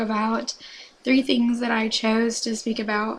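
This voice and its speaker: Amid noticeable background noise, a woman talks at a fairly high pitch with monotone, flat intonation. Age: 20s. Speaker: college student. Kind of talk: class presentation. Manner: halting.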